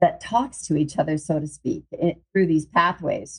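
A woman in a normal speaking voice with ordinary pitch variation and a fairly slow pace. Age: 50s. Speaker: wellness group leader and podcast host. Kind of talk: casual live video talk to group members.

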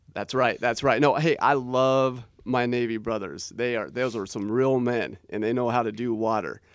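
At a moderate pace and medium pitch, a man with an American accent uses a normal speaking voice with fairly even intonation and hardly any pauses, on a very clean recording with a silent background. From Portland, Oregon, US Pacific Northwest. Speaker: author. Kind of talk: interview.

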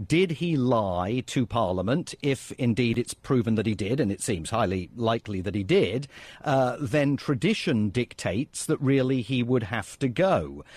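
A medium-pitched male voice with a British accent, lively intonation, a moderate pace and hardly any pauses, on a very clean, dry, close recording with no echo and a silent background. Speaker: political analyst. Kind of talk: news interview. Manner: measured, many fillers.

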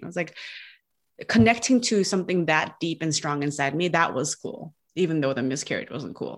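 Speaking with an American accent, a woman has an unremarkable speaking voice, fairly low in pitch, with lively intonation at a moderate pace. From United States. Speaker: marketing coach and podcast guest. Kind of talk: casual interview. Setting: remote call.

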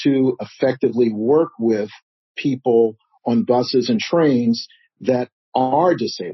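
A man's voice at a medium pitch. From Chicago South Side. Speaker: nonprofit founder. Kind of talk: interview.

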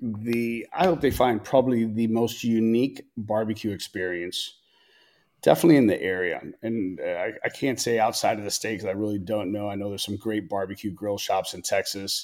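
In a very clean recording with a silent background, a man uses a normal speaking voice at medium pitch, with ordinary pitch variation and a fairly quick pace. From Tampa, Florida (born in Chicago, Cuban parents). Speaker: barbecue restaurant and grill shop owner. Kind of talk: casual interview chat.

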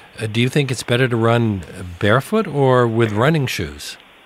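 Fairly low male voice with noticeable noise behind it. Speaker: radio talk show host. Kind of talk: radio interview. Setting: radio studio.

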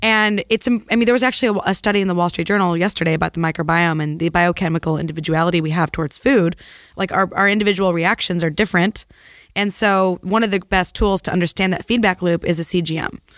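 A woman talks at a very fast pace with medium pitch and ordinary pitch variation. The sound is dry and close with no echo, in a very clean recording with a silent background. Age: 30s. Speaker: physician. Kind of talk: casual chat.

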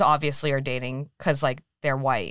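A woman's bright, sharp tone with an American accent, dry and close with no echo. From US West Coast, San Francisco Bay Area. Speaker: podcast co-host. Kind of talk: casual chat.

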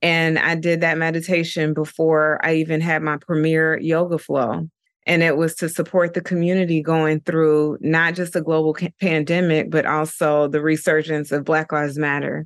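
Over a quiet background, a woman with a very deep, low pitch talks at a moderate pace with hardly any pauses, her intonation flat and monotone and her loudness very even. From Dayton, Ohio. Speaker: yoga and meditation teacher. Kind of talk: casual interview chat.

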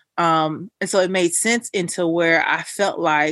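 Speaking fairly slowly with fairly even intonation, a woman with an ordinary speaking voice and a fairly low pitch comes through dry and close with no echo, on a very clean recording with a silent background. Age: 30s. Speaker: mental health therapist and podcaster. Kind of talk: casual chat.

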